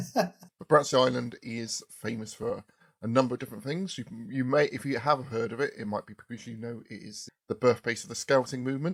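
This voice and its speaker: A man with a southern English accent talks at a fairly quick pace. His loudness swings widely, and the sound is dry and close with no echo. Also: medium pitch for a man, ordinary pitch variation. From southern England, Poole, Dorset. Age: 40s. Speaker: podcast host. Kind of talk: casual chat.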